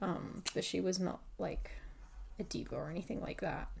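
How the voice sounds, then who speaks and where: A soft-spoken woman talks at a moderate pace with a dark, mellow tone. Her intonation is monotone and flat. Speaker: hobby content creator. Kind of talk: casual rambling chat while drawing. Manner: hesitant, many fillers.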